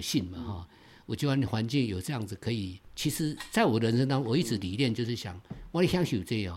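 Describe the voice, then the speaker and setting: At a fairly quick pace, a man speaks at medium pitch with lively intonation. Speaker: Taiwanese-language songwriter. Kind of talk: casual interview chat. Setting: at guest's creative base. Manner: animated.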